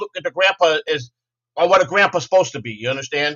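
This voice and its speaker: Speaking at a very fast pace, a man with an American accent uses a high pitch. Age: 50s. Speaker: former ballpark laundry worker. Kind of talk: casual chat. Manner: loud; repeats words, stammering.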